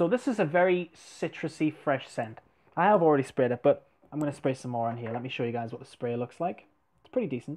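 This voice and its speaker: A man's very fast, lively voice at a fairly high pitch. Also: big swings in loudness. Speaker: fragrance reviewer. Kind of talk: product review vlog. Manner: normal volume, not whispering; casual, filler-heavy. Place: home room. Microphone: earbuds.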